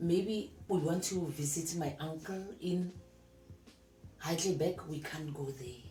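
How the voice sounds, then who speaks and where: A woman's fairly low voice with ordinary pitch variation, a fairly slow pace, audible room echo and music in the background. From South Africa, Limpopo. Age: 60s. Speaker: retired teacher. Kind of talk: interview.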